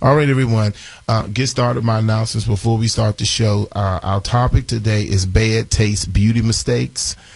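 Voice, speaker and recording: A man talks in a somewhat breathy voice at a fairly low pitch. His pace is moderate, with ordinary pitch variation. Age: 40s. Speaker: radio host, beauty school owner. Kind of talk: radio show announcements.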